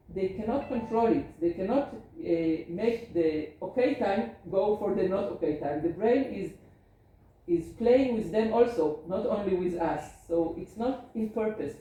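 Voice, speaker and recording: In an Israeli accent, a woman of medium pitch talks at a fairly slow pace with lively intonation, amid audible room echo and noticeable background noise. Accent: Hebrew. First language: Hebrew. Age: 50s. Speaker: geriatrician. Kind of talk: lecture.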